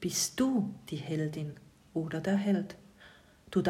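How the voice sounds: This natural reading voice rises and falls in pitch in an ordinary way.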